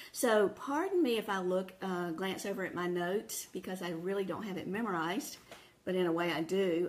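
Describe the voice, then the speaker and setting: A woman with an American accent at a medium pitch and moderate pace, her intonation lively, with noticeable background noise. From rural America, farming area. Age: 60s. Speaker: health talk speaker. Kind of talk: personal talk to an audience.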